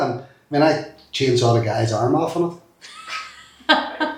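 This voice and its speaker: Room echo is audible as a man talks in a Derry accent. His pitch variation is ordinary. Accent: Northern Irish (Derry). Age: 50s. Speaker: former youth worker. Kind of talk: interview. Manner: animated.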